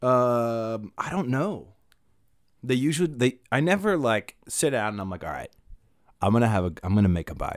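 With an American accent, a man speaks at a medium pitch in an animated tone, his pitch swinging very widely. He leaves long, frequent pauses, and the recording is very clean with a silent background. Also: moderate pace. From US Northeast (Maine). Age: 20s. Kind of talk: casual chat.

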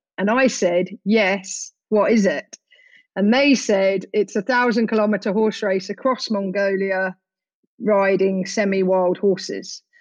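With an unremarkable speaking voice, a woman talks at a medium pitch and a fairly slow pace, her intonation fairly even and her loudness very even. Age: 40s. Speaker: adventurer and conservation charity founder. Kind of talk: interview.

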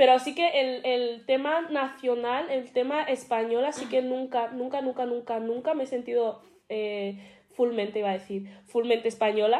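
A woman's high-pitched voice at a moderate pace with hardly any pauses, ordinary pitch variation and big swings in loudness. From Spain, Madrid. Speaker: podcast co-host. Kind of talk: casual chat.

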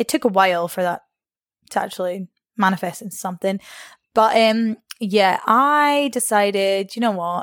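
A woman with a Scottish accent at medium pitch, with ordinary pitch variation at a moderate pace, in a dry, close sound with no echo. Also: very clean recording, silent background. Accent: Scottish (Angus). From northeast Scotland (Arbroath). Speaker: personal trainer. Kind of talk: casual chat. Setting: in person.

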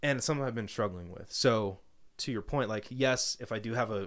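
A man's unremarkable speaking voice, medium-pitched, with a General American accent, a fairly quick pace and ordinary pitch variation, on a very clean recording over a silent background. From Colorado. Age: 20s. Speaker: sales professional and new father. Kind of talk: casual chat.

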